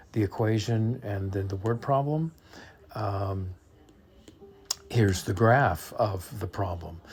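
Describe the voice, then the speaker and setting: Very slow and somewhat breathy, a man speaks at a fairly low pitch with ordinary pitch variation. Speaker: math teacher. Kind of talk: tutorial. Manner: halting.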